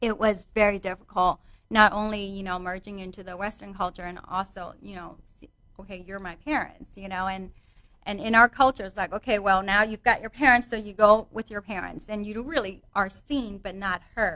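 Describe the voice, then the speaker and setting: A woman speaks in a Vietnamese accent with a bright, sharp tone. Her loudness swings widely while her intonation stays fairly even. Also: medium pitch for a woman, moderate pace. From Vietnam, moved to US at eleven. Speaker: fitness trainer. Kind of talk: interview. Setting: radio studio.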